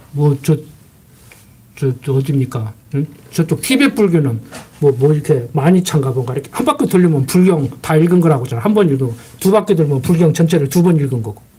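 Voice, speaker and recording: Noticeable background noise sits behind a man's fairly high voice. He speaks at a fairly quick pace with ordinary pitch variation. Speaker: pastor. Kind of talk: sermon. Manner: fast.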